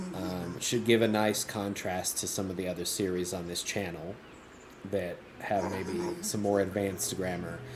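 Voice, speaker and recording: Spoken at a moderate pace with an American accent, the voice keeps a fairly even intonation over audible room echo. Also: man, very deep, low pitch for a man. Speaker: English teacher streaming a video game. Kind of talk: casual commentary for learners.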